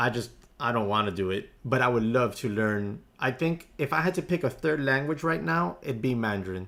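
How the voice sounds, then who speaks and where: Barely pausing, a man with a Spanish accent speaks at a medium pitch and very even loudness in a very clean recording with a silent background. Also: lively intonation, moderate pace. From US, Spanish-speaking family. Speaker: day trader live streamer. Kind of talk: casual live stream chat. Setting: home live stream. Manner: conversational, reading chat aloud.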